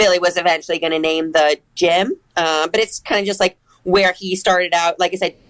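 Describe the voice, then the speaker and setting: Speaking with a Michigan accent, a woman talks at a fairly quick pace and fairly low pitch with monotone, flat intonation, in a dry, close sound with no echo. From Michigan, Ann Arbor. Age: 30s. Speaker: CrossFit athlete. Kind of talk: casual interview.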